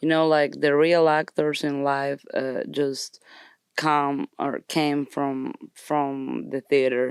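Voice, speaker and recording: Speaking in a Colombian accent, a woman uses a very deep, low pitch and monotone, flat intonation at a very slow pace, with a dry, close sound with no echo in a very clean recording with a silent background. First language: Spanish. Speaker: actress and musician. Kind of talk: interview. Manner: halting.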